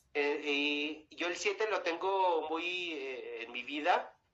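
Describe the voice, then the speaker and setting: Very slow speech from a man, pitched fairly high. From Mexico, Chihuahua. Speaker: singer. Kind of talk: interview. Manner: halting.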